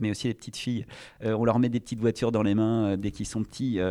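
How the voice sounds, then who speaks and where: Against a quiet background, a man with a medium pitch and a dark, mellow tone talks fairly quickly in a flat monotone. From France, Charente (Cognac). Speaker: entrepreneur. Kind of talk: interview. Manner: hesitant, many fillers.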